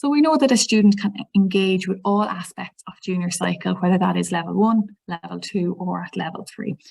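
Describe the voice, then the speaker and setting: With an Irish accent, a woman talks at a fairly quick pace with vocal fry. Her pitch is medium, with ordinary pitch variation. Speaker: teacher trainer. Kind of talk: webinar presentation. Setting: online webinar. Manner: fast.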